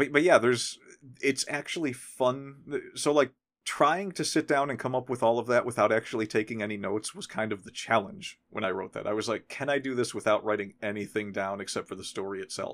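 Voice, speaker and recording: Over a silent background in a very clean recording, a man with an unremarkable speaking voice at medium pitch speaks at a fairly quick pace with lively intonation. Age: 40s. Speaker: podcast host. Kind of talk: casual chat.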